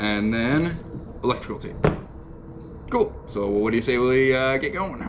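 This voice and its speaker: At a moderate pace, a man speaks against noticeable background noise. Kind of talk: tutorial. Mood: upbeat, relaxed. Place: home room.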